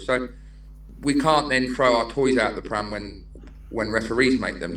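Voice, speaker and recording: A man speaks with audible room echo. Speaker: non-league football manager. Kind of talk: casual podcast interview. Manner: animated.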